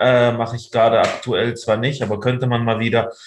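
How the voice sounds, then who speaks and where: A man with a somewhat breathy voice talks at a fairly quick pace and a medium pitch. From Germany, raised from childhood after moving from the Soviet Union. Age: 30s. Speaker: freelance journalist. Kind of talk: interview.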